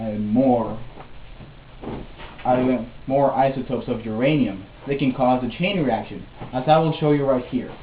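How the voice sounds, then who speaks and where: Noticeable background noise is present. Through it, a man talks with ordinary pitch variation. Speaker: student. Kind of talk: educational explainer presentation. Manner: hesitant, stuttering.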